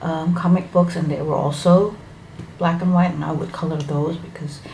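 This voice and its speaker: Amid noticeable background noise and audible room echo, a woman speaks in a fairly low, monotone voice with flat intonation. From Indonesia. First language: Indonesian. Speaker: hobby YouTuber. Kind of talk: casual vlog introduction. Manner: halting, with fillers.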